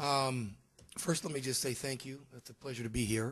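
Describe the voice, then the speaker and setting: At a very fast pace, a man talks in a medium pitch with a somewhat breathy voice. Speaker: conference panelist, university faculty. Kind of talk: conference panel talk. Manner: halting, many fillers.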